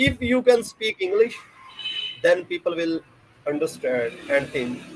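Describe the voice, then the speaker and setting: Noticeable background noise sits behind a man with a high pitch. He talks at a fairly slow pace with very wide pitch swings. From southern Punjab, Pakistan (Layyah district). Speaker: university lecturer. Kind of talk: podcast interview.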